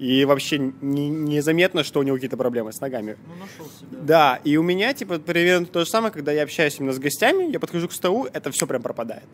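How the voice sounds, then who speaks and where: A man speaks at a very fast pace in a fairly high pitch, with ordinary pitch variation. His loudness swings widely. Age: 20s. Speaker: bartender. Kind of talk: casual chat.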